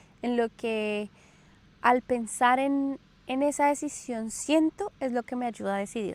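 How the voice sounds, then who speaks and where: The voice moves at a fairly slow pace with ordinary pitch variation, the sound dry and close with no echo. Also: woman, high pitch for a woman. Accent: Colombian. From Colombia. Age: 30s. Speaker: podcast host. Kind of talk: casual personal storytelling monologue. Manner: hesitant with filler sounds.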